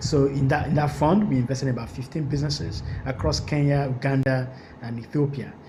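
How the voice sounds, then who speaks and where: A man with a Nigerian accent at a fairly quick pace, with audible room echo and noticeable background noise. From Nigeria, Lagos. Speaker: venture capital investor. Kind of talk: panel discussion. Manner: halting.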